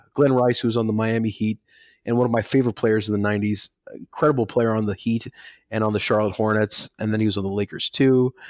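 Against a quiet background with a dry, close sound and no echo, a man with an American accent and an unremarkable speaking voice talks at a fairly quick pace and a medium pitch. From Pakistan (Karachi), with early years in Dallas, Texas. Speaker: journalist and author. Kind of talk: interview.

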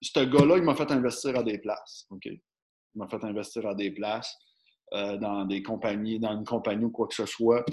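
On a very clean recording with a silent background, a man with a Quebec accent speaks at medium pitch with ordinary pitch variation. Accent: Québécois French. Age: 30s. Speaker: podcast host. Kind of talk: casual chat.

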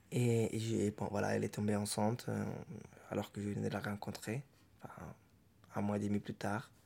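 A man with a dark, mellow tone and fairly low pitch speaks at a moderate pace in a flat monotone, leaving long, frequent pauses. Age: 30s. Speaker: father. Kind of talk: interview testimony. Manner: halting.

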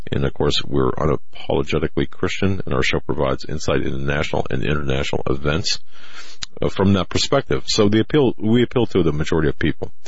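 Very fast and very deep, a man's low voice has lively intonation. Noticeable background noise runs underneath. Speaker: radio host, investigative reporter. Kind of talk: casual talk radio chat. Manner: halting, many fillers and restarts.

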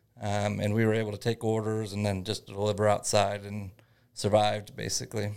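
Speaking at a fairly quick pace with a Midwestern American accent, a man holds a monotone, flat intonation at a fairly low pitch on a very clean recording with a silent background. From northern Indiana. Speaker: small business owner. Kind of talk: interview.

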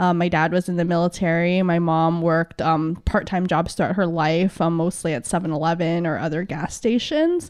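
A woman talks at a moderate pace with hardly any pauses. Her fairly low voice stays monotone and flat. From San Diego, California (born in Philippines). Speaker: union organizer. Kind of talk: podcast interview.

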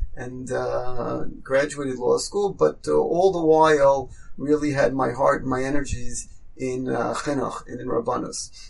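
A man with a New York accent over noticeable background noise. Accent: New York American. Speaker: rabbi and school head. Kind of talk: interview.

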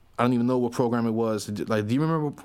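A man with a South Florida accent. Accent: South Florida American. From Miami, Florida. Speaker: rapper. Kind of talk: casual interview chat.

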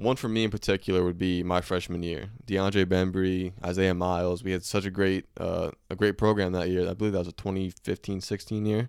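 On a very clean recording with a silent background, a man with a very deep, low pitch speaks at a fairly quick pace in a monotone, flat intonation with hardly any pauses. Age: 20s. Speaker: student podcast co-host. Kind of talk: casual chat.

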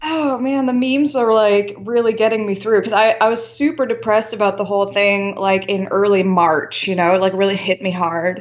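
A woman in a normal speaking voice, medium in pitch with ordinary pitch variation, moves at a fairly quick pace with hardly any pauses. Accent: American. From mixed: US childhood, then Indonesia, France, Belgium (Dutch). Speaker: artist. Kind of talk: casual chat.

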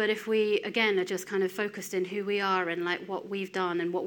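With an English accent, a woman talks at a fairly quick pace at medium pitch, her intonation monotone and flat. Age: 30s. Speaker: lay preacher. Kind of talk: sermon.

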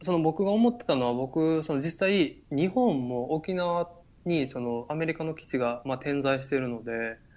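A man's fairly high voice in a Kansai accent, lively in intonation, at a moderate pace. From Japan, Takarazuka, Hyogo (Kansai). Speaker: Japanese expat in Norway. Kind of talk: casual chat. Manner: hesitant, many fillers.

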